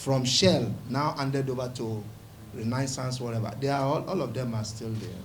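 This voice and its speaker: A man's somewhat breathy voice at a medium pitch, with fairly even intonation and audible room echo. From Nigeria, Rivers State (Niger Delta). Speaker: pastor and community leader. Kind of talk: press conference statement.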